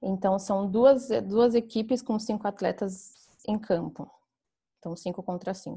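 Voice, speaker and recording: In a dark, mellow, somewhat breathy voice of medium pitch, a woman speaks very slowly with fairly even intonation against a quiet background. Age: 20s. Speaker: flag football player. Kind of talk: podcast interview.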